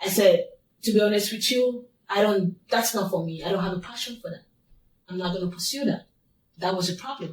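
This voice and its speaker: A woman with a non-native accent talks at a moderate pace and medium pitch, her voice somewhat breathy and her intonation fairly even. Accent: foreign. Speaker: abuse survivor. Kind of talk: testimony.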